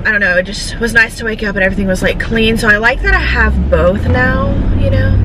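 Loud background noise surrounds a woman who talks at a fairly quick pace. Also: dry sound with no echo. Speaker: vlogger. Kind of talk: casual vlog chat. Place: car.

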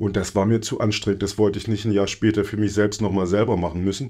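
A man talks at a very fast pace in a fairly low pitch, his tone dark and mellow. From Thuringia, Germany. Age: 40s. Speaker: theater director. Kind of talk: interview.

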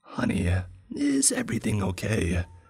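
A man puts on a character voice that is raspy and husky at a medium pitch. He speaks at a moderate pace. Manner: inhuman, unsettling.

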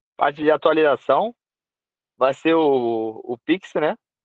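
In a quiet background with dry sound and no echo, a man speaks fairly slowly. His intonation is lively. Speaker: team member explaining platform updates. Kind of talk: casual chat. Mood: upbeat, informal. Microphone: video call.

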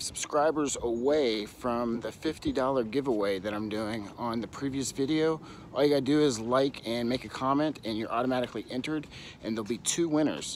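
A man talks at a moderate pace with ordinary pitch variation, the sound dry with no echo and some light background noise. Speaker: vlogger, reseller. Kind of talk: casual vlog chat. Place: garden. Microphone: phone near.

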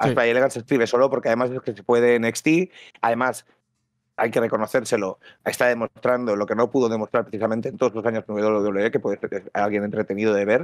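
Very fast male speech at medium pitch in a monotone, flat intonation, dry with no echo, over a quiet background. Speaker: wrestling podcaster. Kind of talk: casual chat. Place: home room. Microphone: headset.

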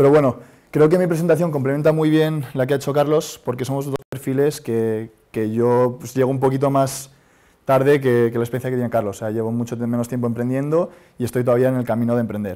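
Over a quiet background, a man talks at a very fast pace with a dark, mellow tone and fairly even intonation. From Spain (Madrid). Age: 30s. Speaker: startup founder; speaker. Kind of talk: conference talk. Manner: hesitant. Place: hall. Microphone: lapel.

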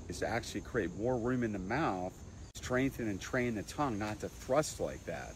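A man talks at a fairly low pitch with a somewhat breathy voice. The sound is dry with no echo, over light background noise. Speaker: dental health educator. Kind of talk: explanatory tutorial. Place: garden. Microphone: lapel.

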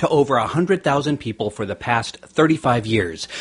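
A man speaks with lively intonation and noticeable vocal fry. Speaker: podcast host and chiropractor. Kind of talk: podcast interview.

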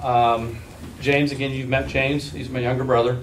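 Over light background noise, a man talks at a fairly quick pace. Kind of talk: presentation to officials. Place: meeting room. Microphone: camera far.

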